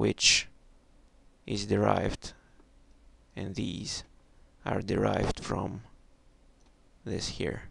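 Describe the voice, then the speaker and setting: A man with a non-native accent speaks very slowly in a very deep, low voice with vocal fry. His pitch swings very widely, and he leaves long, frequent pauses. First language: not English. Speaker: math tutorial maker. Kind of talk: tutorial. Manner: halting.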